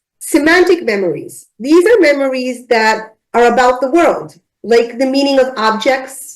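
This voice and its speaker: A woman speaks in a high pitch with lively intonation at a fairly slow pace. She keeps her loudness very even and takes hardly any pauses. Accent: non-native. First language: not English. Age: adult, driving many years. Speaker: ADHD memory speaker. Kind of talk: lecture.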